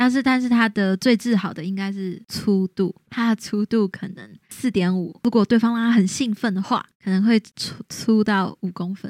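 A woman in a slight Taiwanese accent, medium pitch, fairly even intonation, a moderate pace with hardly any pauses, and a very clean, dry, close recording with a silent background and no echo. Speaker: podcast co-host. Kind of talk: casual chat, storytelling.

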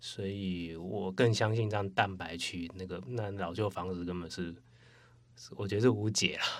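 A man with a very deep, low voice speaks at a moderate pace, his intonation fairly even. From Taiwan, Taipei. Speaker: former coworker of host. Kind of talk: casual chat.

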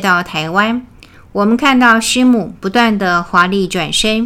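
A woman's fairly high-pitched voice, bright and sharp in tone, at a very slow pace with ordinary pitch variation. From Taiwan. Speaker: religious lecturer. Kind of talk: memorial lecture.

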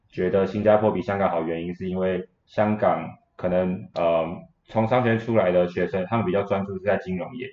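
Intonation stays fairly even while the words come at a fairly quick pace. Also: man, very deep, low pitch for a man. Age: 20s. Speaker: university student. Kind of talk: interview.

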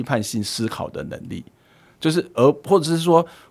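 At a fairly quick pace, a man speaks with very wide pitch swings in a very clean recording with a silent background. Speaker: professor. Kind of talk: casual chat.

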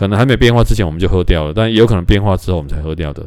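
A plain, everyday voice with ordinary pitch variation, captured in a very clean recording against a silent background. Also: man. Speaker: podcast host. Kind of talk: casual solo talk. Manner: rambling with many fillers.

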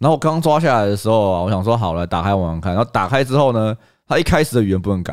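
Lively intonation and an animated tone mark this very fast speech in a Taiwanese accent, captured on a very clean recording with a silent background. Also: man, fairly low pitch for a man. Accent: Taiwanese Mandarin. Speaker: podcast co-host. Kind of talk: casual chat.

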